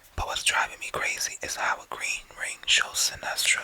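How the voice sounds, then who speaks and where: Someone whispers over noticeable background noise. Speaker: ASMR creator. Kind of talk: comic book reading. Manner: soft-spoken.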